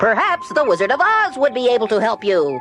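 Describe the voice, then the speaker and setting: A man does a put-on character voice at an extremely high pitch and a fairly quick pace. His loudness stays very even, with clear music in the background. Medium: read story.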